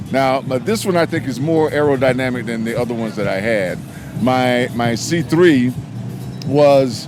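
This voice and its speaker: A man talks at a moderate pace and a medium pitch with ordinary pitch variation, as music plays in the background. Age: 60s. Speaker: car owner, military veteran. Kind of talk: casual interview.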